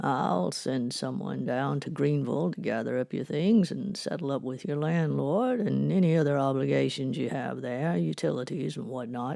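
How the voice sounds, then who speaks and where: Using a put-on character voice, a man sounds gruff at medium pitch, moving at a moderate pace with hardly any pauses. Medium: audio drama. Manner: firm, commanding.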